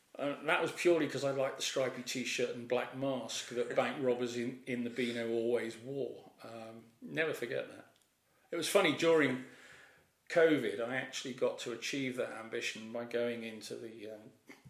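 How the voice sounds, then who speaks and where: At a moderate pace and medium pitch, a man speaks with fairly even intonation and big swings in loudness, with audible room echo. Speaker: retired naval officer and airline pilot. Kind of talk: interview. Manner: hesitant, with fillers.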